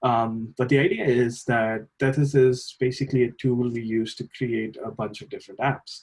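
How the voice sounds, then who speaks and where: A somewhat breathy man talks at medium pitch. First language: not English. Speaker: lab trainer. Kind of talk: tutorial. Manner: hesitant, many fillers.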